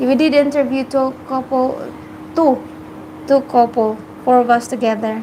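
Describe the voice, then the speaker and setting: A woman speaks at a moderate pace with a high pitch and flat, monotone intonation, leaving long, frequent pauses. Noticeable background noise sits behind her. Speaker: vlogger. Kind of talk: casual chat. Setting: live stream.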